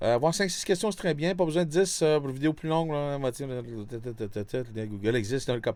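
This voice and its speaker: A man's voice with very wide pitch swings at a fairly quick pace, in a very clean recording with a silent background. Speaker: 3D animation teacher. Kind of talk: lecture. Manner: fast; halting.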